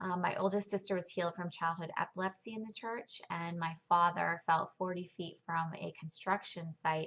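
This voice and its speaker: At a moderate pace with hardly any pauses, a woman speaks in a fairly low pitch with fairly even intonation. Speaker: churchgoer sharing her testimony. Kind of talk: testimony. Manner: hesitant, many fillers.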